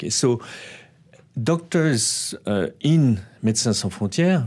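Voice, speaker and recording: With a French accent, a man speaks at a fairly slow pace with lively intonation. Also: very clean recording, silent background. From France. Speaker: non-profit director. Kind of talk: interview. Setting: studio. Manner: halting.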